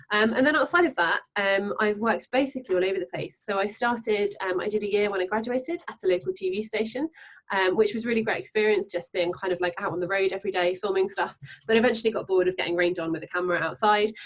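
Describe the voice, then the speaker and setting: Speaking at a very fast pace, a woman has a southern English accent. Her pitch is medium, with ordinary pitch variation. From England, Devon. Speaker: freelance journalist. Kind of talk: panel discussion.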